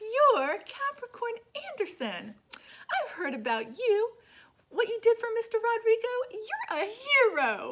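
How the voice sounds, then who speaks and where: A woman puts on a squeaky character voice at an extremely high pitch. She talks at a fairly slow pace. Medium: read story.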